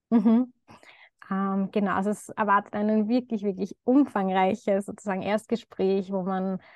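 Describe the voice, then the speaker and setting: A woman at medium pitch with monotone, flat intonation and a moderate pace, dry and close with no echo, over a quiet background. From Lower Austria (Baden). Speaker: doctor in training, coaching client. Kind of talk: testimonial interview. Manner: hesitant, many fillers.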